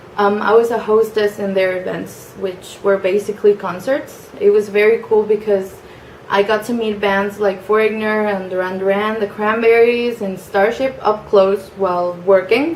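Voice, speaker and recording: A woman speaks at a moderate pace with medium pitch and fairly even intonation. Noticeable background noise sits behind her. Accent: Spanish. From Mexico (Mexico City, Cancun). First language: Spanish. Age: 20s. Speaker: young job applicant introducing herself. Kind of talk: personal introduction video. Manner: casual with frequent fillers and hesitations.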